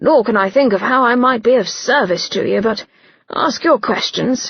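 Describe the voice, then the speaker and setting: Putting on a character voice, a woman speaks at a moderate pace in a raspy, high-pitched tone. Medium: read story. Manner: blunt, clipped.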